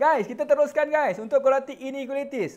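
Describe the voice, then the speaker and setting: The man speaks at an extremely high pitch. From Malaysia. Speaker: online maths tutor. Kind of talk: live online maths lesson. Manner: animated. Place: studio. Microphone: lapel.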